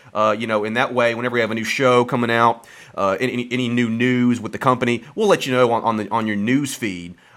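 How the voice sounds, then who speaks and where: Very fast speech from a man at a medium pitch, with a Southern US accent and fairly even intonation. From Alabama, US South. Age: 20s. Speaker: podcast producer and engineer. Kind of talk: casual chat.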